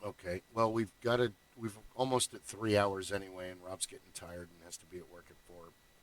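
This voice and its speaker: An ordinary speaking voice from a man, fairly low in pitch, at a fairly quick pace, with big swings in loudness. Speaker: podcast host.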